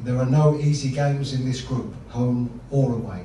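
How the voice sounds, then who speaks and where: A man speaks at a moderate pace in a monotone, flat intonation. Light background noise and audible room echo are present. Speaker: football head coach. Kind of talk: press conference answer. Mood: calm, measured. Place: hall.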